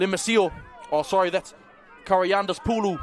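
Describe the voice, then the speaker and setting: Amid noticeable background noise, a man with a high pitch talks in an animated tone at a moderate pace. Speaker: rugby league commentator. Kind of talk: live commentary. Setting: commentary booth.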